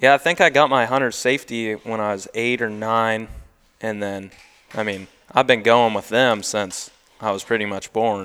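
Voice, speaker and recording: A man at medium pitch with a bright, sharp tone, fairly even intonation and a moderate pace. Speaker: young farmer and duck guide. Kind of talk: casual chat.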